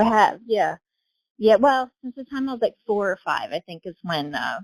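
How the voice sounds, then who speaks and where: With an American accent and an unremarkable speaking voice, a woman talks at a moderate pace with lively intonation, the sound dry and close with no echo. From Southern Ohio. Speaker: real estate agent and horse rider. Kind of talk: casual podcast interview.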